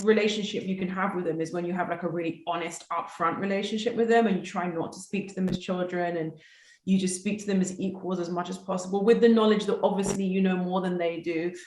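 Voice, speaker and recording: A woman in a London accent at a fairly quick pace, fairly even intonation and hardly any pauses, with audible room echo. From South London, England. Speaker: actress. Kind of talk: casual interview.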